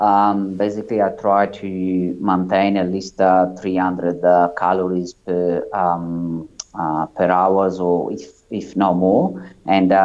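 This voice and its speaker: A man's very deep, low voice at a very slow pace, in an Italian accent. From Italy. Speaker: ultramarathon runner. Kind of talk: interview. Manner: halting.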